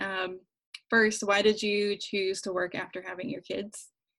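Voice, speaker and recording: In an American accent, a woman with an unremarkable speaking voice talks at a medium pitch with fairly even intonation. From rural West Virginia. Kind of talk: casual chat.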